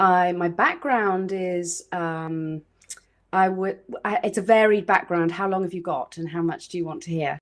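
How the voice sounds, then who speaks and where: Speaking at a fairly slow pace, a woman with a medium-pitched voice talks in a British accent. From South Wales. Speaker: photographer and former actress. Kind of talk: interview.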